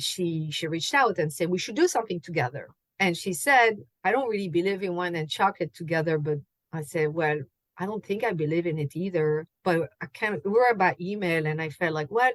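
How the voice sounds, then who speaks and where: Speaking at a fairly quick pace with a French accent, a woman with a fairly low pitch shows ordinary pitch variation in a dry, close recording with no echo. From France. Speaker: chocolate and wine pairing host. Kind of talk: podcast interview.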